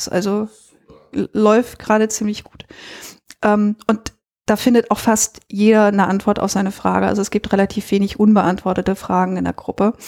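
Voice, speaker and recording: In a dry, close sound with no echo, a woman of medium pitch speaks in a flat monotone at a moderate pace. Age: 40s. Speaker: WordPress freelancer, former banker. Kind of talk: casual interview. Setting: studio.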